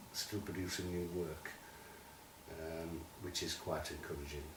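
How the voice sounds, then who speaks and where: In a Yorkshire accent, a man speaks at a fairly slow pace with a very deep, low pitch, with audible room echo and noticeable background noise around him. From Sheffield, northern England. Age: 70s. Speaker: writer and poet. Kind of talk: interview.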